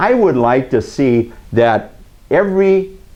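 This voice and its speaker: With an Upper Midwest accent, the speaker's intonation rises and falls in a lively way. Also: man. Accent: Upper Midwest (Minnesota). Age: 60s. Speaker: community TV host. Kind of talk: opinion commentary to camera. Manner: halting, many fillers.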